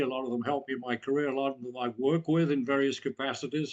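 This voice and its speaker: A man talking at a very fast pace. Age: 80s+. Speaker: author and former intelligence officer. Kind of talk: interview. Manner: hesitant, with many fillers and repeats.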